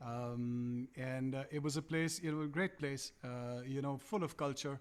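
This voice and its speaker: This man has a Punjabi accent and a fairly high pitch, speaking at a moderate pace with fairly even intonation. The recording is very clean, with a silent background. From India, Calcutta. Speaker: musician. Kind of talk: interview. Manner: halting.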